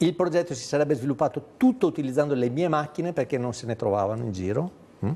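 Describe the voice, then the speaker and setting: Speaking at a very fast pace, a man uses a fairly high pitch. His tone is dark and mellow. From Veneto, Treviso. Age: 60s. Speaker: documentary maker and teacher. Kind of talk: TV interview. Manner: animated.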